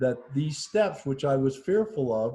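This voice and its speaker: A man's fairly high, somewhat breathy voice carries a dark, mellow tone. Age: 60s. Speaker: COVID-19 survivor. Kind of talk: interview testimony. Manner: halting.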